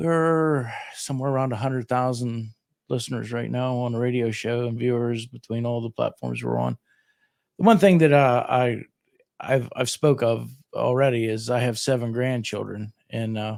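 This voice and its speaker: A man with a western Pennsylvania accent speaks with fairly even intonation. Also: medium pitch for a man, moderate pace. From southwestern Pennsylvania, Fayette County. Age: 60s. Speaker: radio host and county commissioner candidate. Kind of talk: casual interview.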